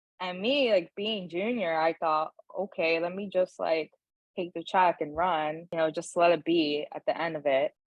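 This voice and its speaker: A woman with a Brooklyn accent speaks at a fairly low pitch with ordinary pitch variation. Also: moderate pace. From New York, Brooklyn (Bushwick), Dominican family. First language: Spanish. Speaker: HR and talent director. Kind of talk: podcast interview. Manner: casual, many fillers like 'like'.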